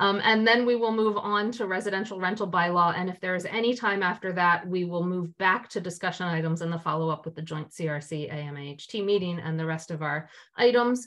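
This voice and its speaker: This woman talks at a fairly quick pace with hardly any pauses and ordinary pitch variation. Her background is quiet. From US Northeast. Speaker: committee chair. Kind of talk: public meeting. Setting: video call. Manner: formal. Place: home room. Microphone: video call.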